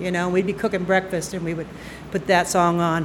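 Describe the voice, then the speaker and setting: Audible room echo is present. The voice belongs to a woman. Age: 60s. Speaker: army veteran and storyteller. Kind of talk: live storytelling. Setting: stage with audience.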